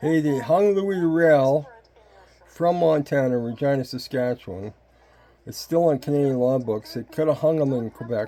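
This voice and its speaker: At a moderate pace, a man with a plain, everyday voice speaks with a fairly high pitch and ordinary pitch variation. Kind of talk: casual commentary on a playing video.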